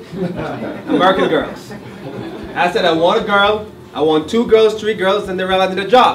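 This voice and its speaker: A man with a Jamaican accent speaks at a moderate pace in a high voice with ordinary pitch variation, over noticeable background noise and audible room echo. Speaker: college director. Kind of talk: speech to an audience.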